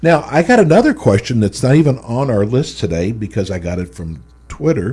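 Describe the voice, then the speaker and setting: A man with a medium pitch speaks at a moderate pace, his voice somewhat breathy with a dark, mellow tone. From Texas. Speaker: radio host. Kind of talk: radio interview.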